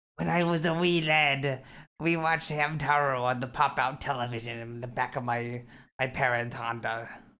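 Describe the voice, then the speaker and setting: In a very clean recording with a silent background, a man uses a playful, put-on character voice at medium pitch and a moderate pace. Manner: playful, exaggerated.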